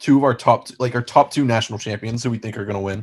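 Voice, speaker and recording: Against a quiet background, a man with an American accent talks at a fairly quick pace in a somewhat breathy, medium-pitched voice with fairly even intonation. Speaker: sports podcast co-host. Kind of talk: casual chat. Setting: video call.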